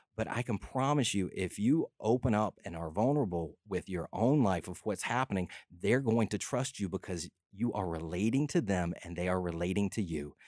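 A man speaks in an animated tone at a fairly low pitch, recorded with a dry, close sound and no echo. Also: moderate pace. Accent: Southern US. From LaGrange, Georgia. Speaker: filmmaker and nonprofit founder. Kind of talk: radio interview. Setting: studio.

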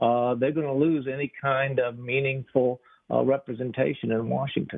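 A man with a medium-pitched, unremarkable speaking voice delivers his words at a moderate pace. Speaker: former state legislator. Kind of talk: political discussion.

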